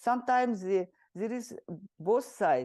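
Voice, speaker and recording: A woman speaks at a moderate pace with a dark, mellow tone and a Russian accent over a quiet background. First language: Kalmyk. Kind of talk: interview. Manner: halting.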